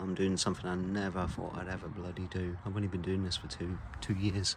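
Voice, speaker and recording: Somewhat breathy and very deep, a man's low voice moves at a fairly quick pace in a monotone, flat intonation. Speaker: amateur DIY car mechanic vlogger. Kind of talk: casual vlog narration. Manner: soft-spoken, talking quietly; casual, hesitant with fillers.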